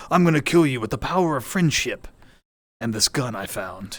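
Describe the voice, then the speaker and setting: In a put-on character voice, a man speaks at a moderate pace and medium pitch in a very clean recording with a silent background. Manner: gruff, military.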